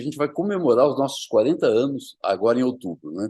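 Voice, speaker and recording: A man speaks fairly quickly, his voice pitched in the medium range. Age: 60s. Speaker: surgeon. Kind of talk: presentation. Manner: halting.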